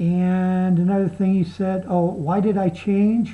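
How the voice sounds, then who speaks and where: A woman's voice comes through somewhat breathy, with a dark, mellow tone. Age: 60s. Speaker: video blogger. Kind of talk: video response monologue. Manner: halting.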